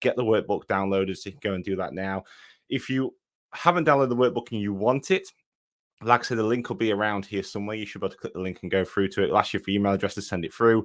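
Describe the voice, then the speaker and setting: A man in an East Midlands accent, with a fairly low pitch, ordinary pitch variation and a very fast pace. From English Midlands, between Nottinghamshire and Derbyshire. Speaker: online fitness business coach. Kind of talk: live online workshop. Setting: livestream. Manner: casual, filler-heavy.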